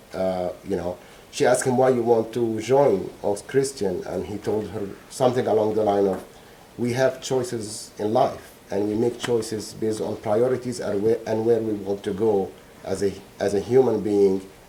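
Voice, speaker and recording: Amid audible room echo, a man with a slight non-native accent speaks at a moderate pace, fairly low in pitch, with fairly even intonation. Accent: slight foreign. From Egypt, Alexandria. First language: Arabic. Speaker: trial witness, bereaved father, scientist. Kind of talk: court testimony. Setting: courtroom. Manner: halting, many repetitions and fillers.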